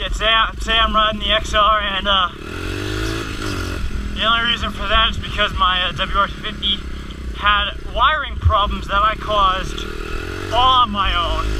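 At a fairly slow pace with long, frequent pauses, the speech comes through dry with no echo over noticeable background noise. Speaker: dirt bike rider vlogger. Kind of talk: casual vlog chat. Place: motorbike. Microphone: helmet.

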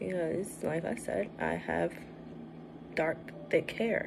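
A woman with an American accent at a very slow pace, over noticeable background noise. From Brooklyn, New York; New York. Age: 20s. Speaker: vlogger. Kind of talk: casual vlog chat. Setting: at home doing makeup. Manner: casual, hesitant with fillers. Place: home room. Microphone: phone near.

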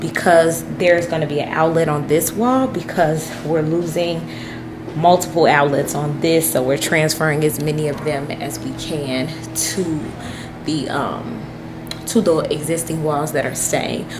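There is music in the background. A woman speaks with a very deep, low pitch. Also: ordinary pitch variation, fairly slow pace. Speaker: homeowner vlogger. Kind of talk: casual vlog chat. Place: kitchen. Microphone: phone near.

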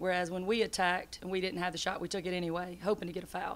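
A woman talks at a very fast pace in a monotone, flat intonation. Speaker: basketball head coach. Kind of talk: interview answer. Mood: disappointed after a loss. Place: hall. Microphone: podium.

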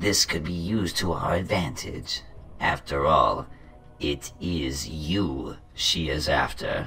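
A man speaks at a very deep, low pitch over clear background noise. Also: fairly slow pace. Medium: machinima. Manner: imperious, menacing, scornful.

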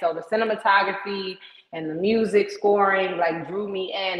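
A woman with an East Coast American accent speaks with fairly even intonation, and audible room echo surrounds her voice. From US East Coast, Maryland. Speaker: entertainment booking agent. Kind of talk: interview. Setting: video call. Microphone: video call.

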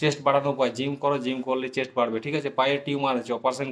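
A man talks at a medium pitch. It is an unremarkable speaking voice. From West Bengal, Jhargram. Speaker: YouTuber answering exam aspirants' questions. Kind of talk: casual Q&A monologue.

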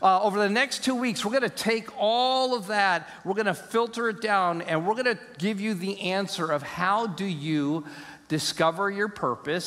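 At a moderate pace, a man speaks with a high pitch and ordinary pitch variation. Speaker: pastor. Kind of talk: sermon. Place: church. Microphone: headset.

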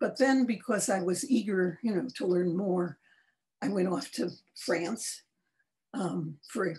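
A woman speaks in a dark, mellow tone at a medium pitch, somewhat breathy. Her pace is fairly slow, and her pitch swings very widely. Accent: American. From Chicago, US Midwest. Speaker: artist and art educator; art educator. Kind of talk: interview. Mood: warm, reflective. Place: home room. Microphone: video call.

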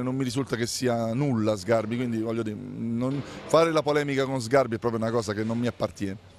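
Over light background noise, a man's medium-pitched voice shows ordinary pitch variation in a dry sound with no echo. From Abruzzo, Italy. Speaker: mayor. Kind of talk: interview. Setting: outdoors. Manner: combative. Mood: dismissive, mildly irritated. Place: street. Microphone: handheld.

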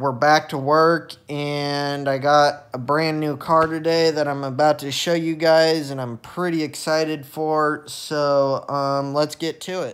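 The man's delivery is fairly slow. It stays monotone and flat throughout. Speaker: vlogger. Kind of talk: casual vlog chat. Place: home room. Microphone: phone near.

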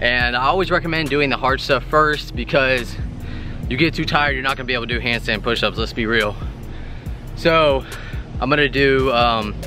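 A man's voice with a dry sound and no echo, over clear music in the background. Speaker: fitness vlogger. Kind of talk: casual vlog chat. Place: garden. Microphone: phone near.

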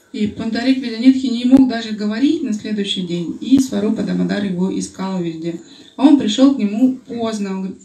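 A moderate pace with audible room echo. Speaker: Russian interpreter. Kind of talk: consecutive interpreting of a Q&A session. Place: home room.

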